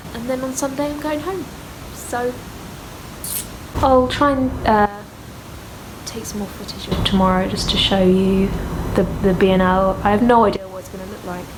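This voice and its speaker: Speaking with a strong British accent at a moderate pace, the voice takes long, frequent pauses, shows ordinary pitch variation and big swings in loudness, with audible room echo and noticeable background noise. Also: woman. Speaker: author and vlogger. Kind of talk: casual travel vlog. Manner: casual with many fillers.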